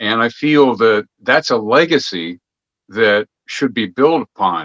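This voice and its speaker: With lively intonation at a very slow pace, a man speaks at medium pitch against a quiet background, the sound dry and close with no echo. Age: 70s. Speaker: guest host of an alternative media interview. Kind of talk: interview. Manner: halting, with repetitions.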